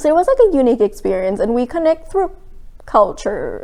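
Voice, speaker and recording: A woman speaks at a high pitch. Her voice moves in very wide pitch swings. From Thailand. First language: Thai. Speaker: art student. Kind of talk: documentary interview.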